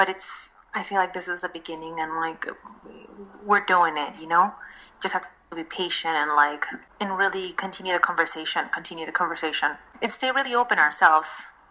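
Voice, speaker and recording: A woman's fairly low, bright, sharp voice in a Spanish accent, with ordinary pitch variation at a fairly quick pace. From Mexico. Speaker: designer and craft fair co-founder. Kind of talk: podcast interview. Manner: halting, many fillers and restarts.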